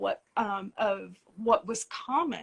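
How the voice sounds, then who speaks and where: The woman's pitch is fairly high and her intonation fairly even. She speaks with an Appalachian accent. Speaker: tarot publisher and teacher. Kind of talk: interview on a live stream.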